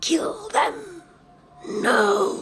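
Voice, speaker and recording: The speaker is growling. It is a put-on character voice. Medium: actual play. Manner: cold, commanding whisper in the head.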